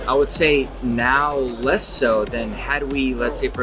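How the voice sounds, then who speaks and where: A man speaks at a fairly slow pace. The recording has audible room echo and noticeable background noise. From California, US. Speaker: exhibit designer. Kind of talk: interview. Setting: trade show floor. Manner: hesitant, many fillers.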